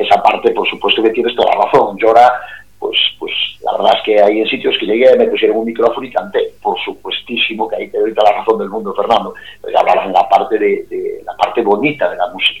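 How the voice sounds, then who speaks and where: With a Galician accent, a man talks at a fairly quick pace against noticeable background noise. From Galicia, A Coruña province, Spain. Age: 50s. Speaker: singer. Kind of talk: interview.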